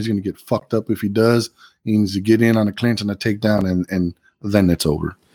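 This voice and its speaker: A man talks at a very fast pace with fairly even intonation. The recording is very clean, dry and close, with a silent background and no echo. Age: 40s. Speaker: podcast co-host and real estate agent. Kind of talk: casual chat.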